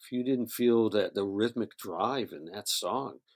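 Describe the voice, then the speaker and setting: A man with an American accent at a fairly slow pace, in a very clean recording with a silent background and a dry, close sound with no echo. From upstate New York (Syracuse). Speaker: studio engineer. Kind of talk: interview.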